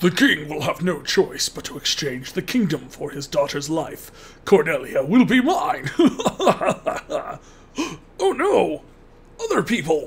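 A put-on character voice at a middle pitch, delivered at a fairly slow pace. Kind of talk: comic overacting villain reading. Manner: pompous, boastful.

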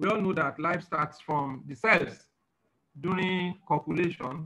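Speaking at a fairly slow pace, a man uses a bright, sharp tone with ordinary pitch variation. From Nigeria. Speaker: alternative medicine professor. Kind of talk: lecture. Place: office. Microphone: webcam.

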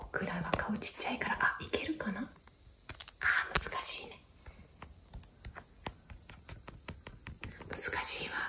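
Against loud background noise, a soft-spoken woman talks in a gentle tone at a very slow pace. She leaves long, frequent pauses. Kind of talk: casual vlog chat. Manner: soft, gentle ASMR murmur to child. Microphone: phone near.

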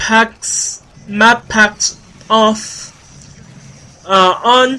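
Flat and monotone, a man speaks in a high pitch. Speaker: gaming youtuber. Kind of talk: gameplay commentary. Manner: halting, many fillers.

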